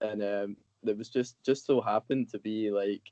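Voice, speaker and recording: A man's fairly low, dark, mellow voice with a dry, close sound and no echo. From Scotland, Motherwell near Glasgow. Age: 20s. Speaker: skater and skate instructor. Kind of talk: casual chat.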